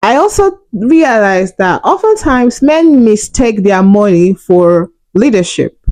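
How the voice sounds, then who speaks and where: Very wide pitch swings over very even loudness, a fairly slow pace with hardly any pauses, and a Nigerian accent. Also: woman, fairly high pitch for a woman. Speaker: relationship and money vlogger. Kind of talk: opinion monologue.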